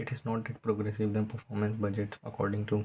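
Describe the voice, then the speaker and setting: Someone with an Indian accent speaks at a fairly quick pace. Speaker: student tutor. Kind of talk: tutorial. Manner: halting; fast.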